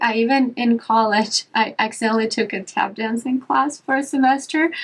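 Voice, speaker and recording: A woman with a non-native accent speaks in a fairly high pitch with ordinary pitch variation. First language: not English. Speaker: yoga teacher and podcast host. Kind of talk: casual chat. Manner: animated.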